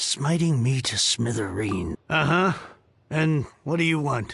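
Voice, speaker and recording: A man puts on a raspy character voice with a fairly high pitch. He speaks at a fairly slow pace. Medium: video game. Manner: theatrical, self-pitying.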